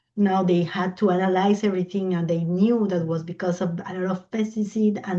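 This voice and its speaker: A woman speaks at a moderate pace and medium pitch, her tone dark and mellow and her intonation monotone and flat. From Colombia. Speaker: environmental law expert. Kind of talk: invited talk in online discussion. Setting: video call. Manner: halting, searching for English words.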